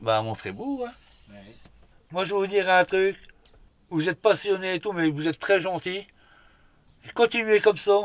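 Lively intonation at a fairly slow pace, broken by long, frequent pauses. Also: man, high pitch for a man. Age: 40s. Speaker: hunter on sick leave. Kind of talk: casual chat.

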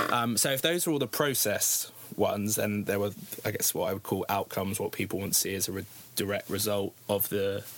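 A man with a British accent, fairly low-pitched, fairly quick, with ordinary pitch variation. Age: 20s. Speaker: youth campaign group founder. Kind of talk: interview. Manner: hesitant, many ums.

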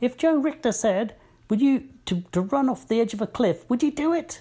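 A female-sounding put-on character voice, high-pitched for a woman, moves at a moderate pace. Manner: scolding.

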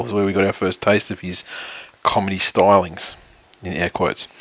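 At a moderate pace, a man does a raspy put-on character voice with a fairly low pitch. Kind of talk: dry, sarcastic (air quotes). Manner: monotone, deadpan.

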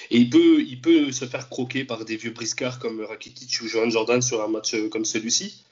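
A man with medium pitch and an ordinary speaking voice, at a moderate pace with hardly any pauses and fairly even intonation. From France. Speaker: football fan commentator. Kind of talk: casual chat.

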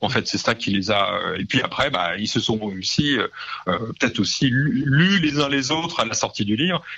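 A man speaks at medium pitch with lively intonation. Noticeable background noise runs underneath. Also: moderate pace. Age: 40s. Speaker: comic book and music writer. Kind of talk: radio interview. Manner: halting, many repetitions and fillers.

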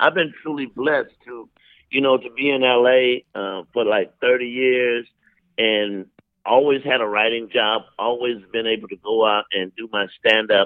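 A man speaks at a medium pitch with an American accent. He has an ordinary speaking voice and fairly even intonation. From Columbia, South Carolina. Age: 60s. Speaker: veteran comedian and writer. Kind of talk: interview chat. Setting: phone call.

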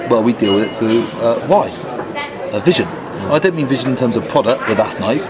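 Crowd noise fills the background as a man talks at a fairly quick pace. His voice is medium in pitch with lively intonation. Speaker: conference speaker and agile practitioner. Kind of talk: casual interview. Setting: conference venue.

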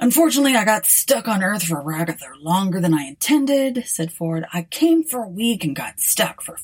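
A natural reading voice with lively intonation carries the clip.

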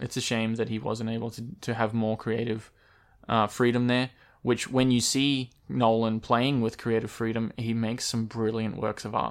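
In an Australian accent, the speaker keeps a flat monotone at a moderate pace on a very clean recording with a silent background. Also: man, medium pitch for a man. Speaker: podcast host. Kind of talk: casual chat.

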